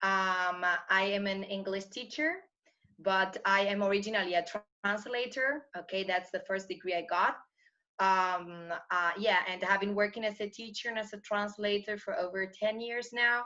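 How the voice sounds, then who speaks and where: The voice has a bright, sharp tone and fairly even intonation at a moderate pace. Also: woman, medium pitch for a woman. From Argentina, Buenos Aires. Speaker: English teacher and translator. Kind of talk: interview. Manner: halting, many fillers.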